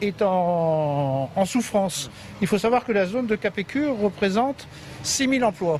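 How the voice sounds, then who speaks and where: Speaking at a moderate pace, a man with a high pitch uses lively intonation and keeps his loudness very even. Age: 60s. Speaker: fish logistics business manager. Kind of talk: on-site interview.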